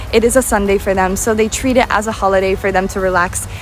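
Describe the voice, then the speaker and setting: A woman speaks very fast in an American accent, her pitch in the medium range. Noticeable background noise runs underneath. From United States. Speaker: travel vlogger. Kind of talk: vlog monologue. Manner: casual, with filler words.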